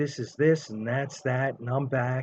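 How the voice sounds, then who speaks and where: A man with a New York accent talks at a medium pitch and a fairly slow pace. His voice is somewhat breathy, with fairly even intonation. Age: 50s. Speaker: gambling commentator. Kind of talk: casual monologue. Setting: in bed.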